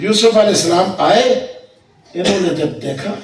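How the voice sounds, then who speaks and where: A man with a high voice speaks very slowly with lively intonation, with audible room echo and noticeable background noise. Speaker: Islamic preacher. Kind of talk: sermon. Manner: animated.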